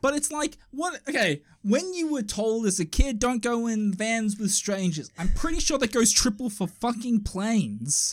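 With an Australian accent, a man talks at a fairly slow pace and hardly any pauses, his extremely high pitch carried by lively intonation. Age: 30s. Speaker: podcast co-host. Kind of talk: casual chat. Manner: animated.

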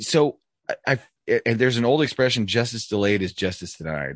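Recorded with a dry, close sound and no echo, a man speaks at a medium pitch and moderate pace, using vocal fry, very wide pitch swings, and long, frequent pauses. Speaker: podcast host. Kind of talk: casual chat. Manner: casual, profane.

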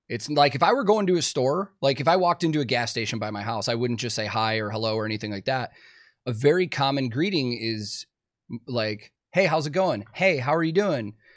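A man with a medium pitch speaks at a fairly quick pace with lively intonation. The recording is very clean, with a silent background. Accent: Chicago. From Chicago, US. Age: 30s. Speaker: podcast host and touring guitar tech. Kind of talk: casual interview chat. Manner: casual, chatty.

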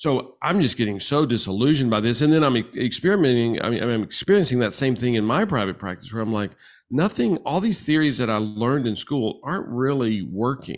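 On a very clean recording with a silent background, a man of medium pitch talks at a fairly quick pace in an ordinary speaking voice, with lively intonation and hardly any pauses. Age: 60s. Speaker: marriage and family therapist. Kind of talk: interview.

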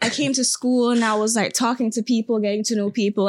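A woman at a fairly high pitch and fairly quick pace, with noticeable background noise. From Jamaica. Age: 20s. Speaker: TikTok creator. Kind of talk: casual interview chat.

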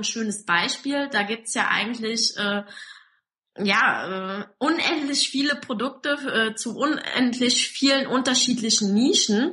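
A woman's high pitch with ordinary pitch variation, at a fairly slow pace. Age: 20s. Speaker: online marketing entrepreneur. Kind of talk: interview.

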